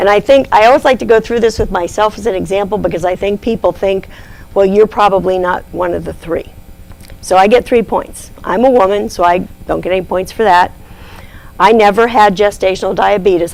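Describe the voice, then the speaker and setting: Against noticeable background noise, a woman with a medium pitch talks at a fairly quick pace with ordinary pitch variation. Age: 60s. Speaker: diabetes nurse educator. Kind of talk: lecture.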